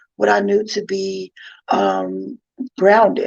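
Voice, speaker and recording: A woman with a New York accent at a fairly slow pace, in a dry, close sound with no echo. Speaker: inspirational speaker and author. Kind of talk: personal testimony talk. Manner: casual, many fillers.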